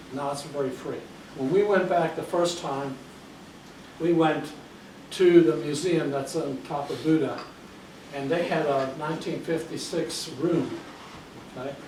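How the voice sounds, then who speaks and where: A man speaks in a fairly high pitch with fairly even intonation and long, frequent pauses. Noticeable background noise and audible room echo can be heard. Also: fairly slow pace. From US (born in Hungary, emigrated as a child). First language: Hungarian. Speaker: guest speaker. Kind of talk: talk to a library audience. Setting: library event with audience.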